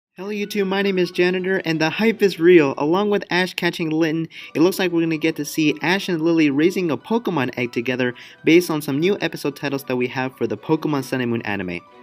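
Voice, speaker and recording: Music plays behind a man talking at a very fast pace. His voice is fairly high, with ordinary pitch variation. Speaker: YouTuber reacting to anime news. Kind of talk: casual video commentary. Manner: animated.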